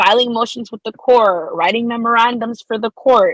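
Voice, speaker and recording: A woman speaks with a Spanish accent at a moderate pace. The sound is dry and close, with no echo. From El Salvador. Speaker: law student. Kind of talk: podcast interview.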